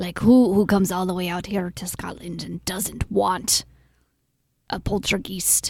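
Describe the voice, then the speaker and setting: A woman uses a put-on character voice at a medium pitch, with monotone, flat intonation. Her moderate pace comes with big swings in loudness. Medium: game stream. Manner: breezy, cheerful.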